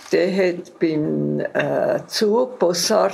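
A woman is heard over noticeable background noise. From Canton Zug, Switzerland. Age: 80s+. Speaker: contemporary witness. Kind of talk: oral history interview. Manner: halting.

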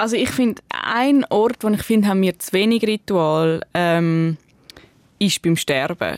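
A woman's medium-pitched voice with lively intonation at a fairly slow pace, in a dry, close sound with no echo. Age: 30s. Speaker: author and journalist. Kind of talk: casual chat. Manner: hesitant, many fillers.

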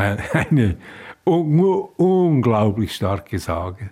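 A man's voice has a dark, mellow, somewhat breathy tone and lively intonation. The recording is very clean, with a silent background. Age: 80s+. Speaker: writer. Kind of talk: interview. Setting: kitchen at home.

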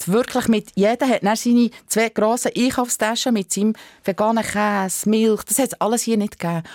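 Dry and close with no echo, an unremarkable speaking voice goes at a fairly quick pace with fairly even intonation. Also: woman. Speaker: animal rights activist. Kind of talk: interview. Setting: studio.

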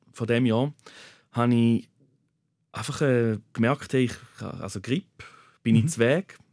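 A man at a fairly slow pace with ordinary pitch variation, in a very clean recording with a silent background and a dry, close sound with no echo. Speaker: nurse. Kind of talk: personal testimony. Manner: halting.

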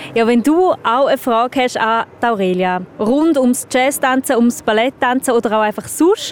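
In a Swiss accent, a woman speaks at a moderate pace with a high pitch, ordinary pitch variation and very even loudness, the sound dry and close with no echo. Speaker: radio host. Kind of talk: casual chat. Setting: outdoors.

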